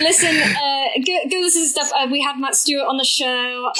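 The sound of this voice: A woman speaks in a high voice with a bright, sharp tone. Her pace is fairly slow and her pitch varies in an ordinary way.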